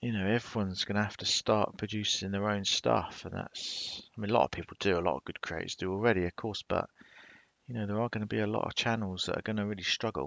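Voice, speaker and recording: A man at a fairly low pitch, very fast in pace, with fairly even intonation. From southern England, Portsmouth, Hampshire. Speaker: YouTuber. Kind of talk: live stream chat. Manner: casual.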